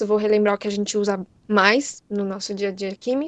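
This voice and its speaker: Recorded dry and close with no echo, a woman talks at a fairly quick pace. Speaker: chemistry teacher. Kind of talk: lecture. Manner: fast.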